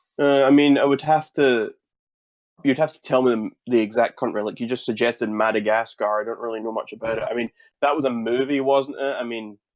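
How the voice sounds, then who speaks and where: With a Scottish accent, a man speaks at a medium pitch and a fairly quick pace, his intonation fairly even and his loudness swinging widely. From Scotland. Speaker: YouTuber. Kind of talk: interview.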